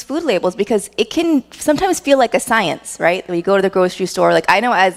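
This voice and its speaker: Lively intonation marks a woman's fairly quick speech, delivered at a medium pitch with an American accent. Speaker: dietitian. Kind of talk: workshop talk. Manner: loud.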